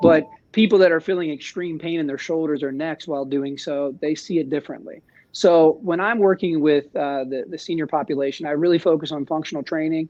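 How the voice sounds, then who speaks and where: Speaking at a fairly quick pace, a man with a fairly high pitch uses fairly even intonation in an unremarkable speaking voice. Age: 40s. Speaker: fitness coach. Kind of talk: webinar discussion.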